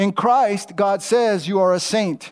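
A man's high voice, its pitch varying in an ordinary way. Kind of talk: sermon preached to a live congregation, in full flow. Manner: emphatic and rhythmic, repeating lines and asking the crowd to respond with amen.

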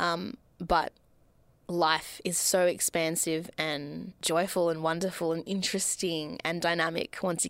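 A woman with an Australian accent speaks at a fairly low pitch in a very clean recording with a silent background. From Melbourne, Australia. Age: 20s. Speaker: podcast host. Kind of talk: solo monologue. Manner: animated.

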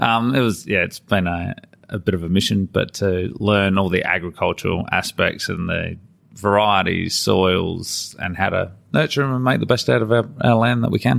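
Speaking with an Australian accent, a man uses a fairly low pitch and ordinary pitch variation at a moderate pace. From Adelaide, South Australia. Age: 40s. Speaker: farmer and former air force engineer. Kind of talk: interview. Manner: halting.

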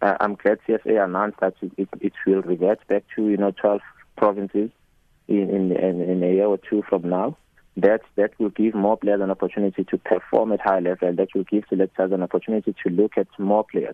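A man with a South African accent speaks fairly quickly at a fairly low pitch, his intonation monotone and flat and his loudness very even. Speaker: cricket coach. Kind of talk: radio interview.

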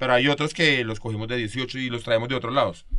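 A man talks very fast at a medium pitch. He speaks with a Bogotá accent. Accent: Bogotano Colombian Spanish. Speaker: podcast host.

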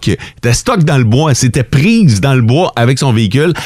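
An animated man with a Quebec accent, medium pitch and very wide pitch swings. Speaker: morning radio host. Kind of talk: morning radio banter. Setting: radio studio.

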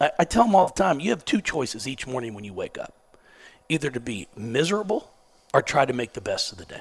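The delivery races at a very fast pace in an animated, somewhat breathy tone, with very wide pitch swings and big swings in loudness. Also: man, fairly high pitch for a man. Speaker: basketball coach. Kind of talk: casual chat. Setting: stage with audience.

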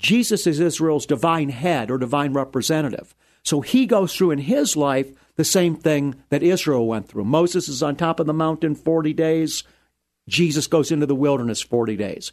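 The background is quiet as a man speaks in an unremarkable speaking voice. His pitch is fairly high, his intonation lively and his pace moderate. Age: 60s. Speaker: rabbi and radio Bible teacher. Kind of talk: radio interview. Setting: studio.

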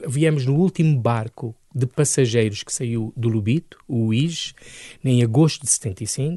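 In a dry, close sound with no echo and a quiet background, a man speaks very slowly, somewhat breathy, at a medium pitch with ordinary pitch variation. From Angola, then Lisbon area, Portugal. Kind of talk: radio interview. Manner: animated, energetic.

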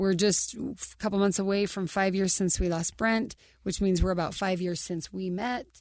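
Her normal speaking voice sits at medium pitch for a woman, moving at a moderate pace with fairly even intonation. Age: 40s. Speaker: podcast co-host. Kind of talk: casual interview conversation.

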